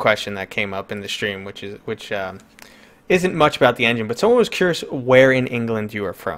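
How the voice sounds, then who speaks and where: A man speaks with a strong New York accent, lively intonation and big swings in loudness. The recording is very clean, with a silent background. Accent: pronounced New York. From New York City. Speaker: gaming channel host. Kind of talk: live stream interview.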